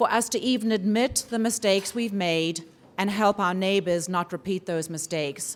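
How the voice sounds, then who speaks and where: At a moderate pace, a woman with a southern African accent speaks at a medium pitch with ordinary pitch variation. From southern Africa (Zimbabwe, Swaziland). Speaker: forum organizer introducing a speaker. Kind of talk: welcome speech.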